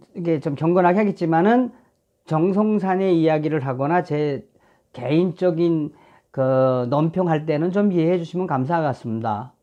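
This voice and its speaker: Against a quiet background, a man with a North Korean accent speaks in a dark, mellow tone at a fairly high pitch with ordinary pitch variation. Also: moderate pace. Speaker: film director and YouTuber. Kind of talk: casual commentary vlog. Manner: hesitant, filler-heavy.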